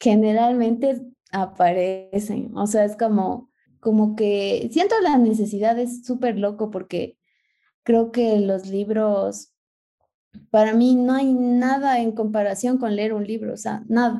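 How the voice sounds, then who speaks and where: A woman speaks very slowly in a dark, mellow tone, her intonation fairly even. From Ecuador. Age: 20s. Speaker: photographer. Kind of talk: casual interview.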